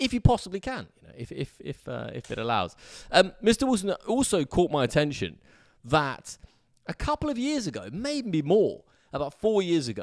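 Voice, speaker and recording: An English accent with very wide pitch swings and big swings in loudness, on a very clean recording with a silent background. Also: man, high pitch for a man, moderate pace. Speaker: sports podcast host. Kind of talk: casual chat. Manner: loud talker.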